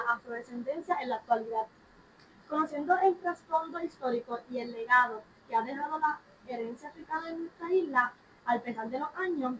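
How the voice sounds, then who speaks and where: A woman speaks at a fairly quick pace in a high pitch with ordinary pitch variation. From Puerto Rico. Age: young. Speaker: student podcast host. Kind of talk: casual discussion.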